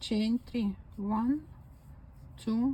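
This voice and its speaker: In a Ukrainian accent, a woman speaks very slowly at a fairly high pitch, somewhat breathy and dark, mellow in tone, with fairly even intonation. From Ukraine. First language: Ukrainian or Russian. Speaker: crochet video maker. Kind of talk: crafting demonstration. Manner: slow counting aloud.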